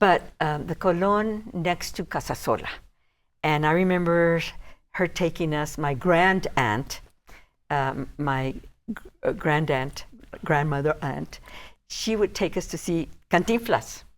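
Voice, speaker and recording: Long, frequent pauses mark this woman's very slow speech at a fairly low pitch. Her pitch varies ordinarily, on a very clean recording with a silent background. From El Paso, Texas. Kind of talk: interview answer.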